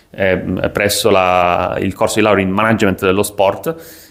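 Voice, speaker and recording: Against noticeable background noise, a man with a fairly low pitch speaks at a moderate pace. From Sicily, Italy. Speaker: sports business content creator. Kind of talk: casual vlog monologue. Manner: hesitant, many fillers.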